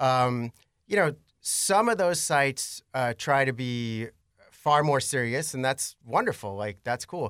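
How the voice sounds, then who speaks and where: A man with a normal speaking voice talks at medium pitch and a fairly slow pace, with lively intonation. The sound is dry and close with no echo, on a very clean recording with a silent background. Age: 40s. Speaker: local blog creator. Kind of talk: casual interview conversation.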